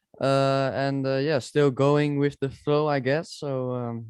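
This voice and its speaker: Speaking at a moderate pace, a man with a Dutch accent has a fairly high pitch. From Netherlands. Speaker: esports sim racer. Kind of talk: casual chat. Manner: halting.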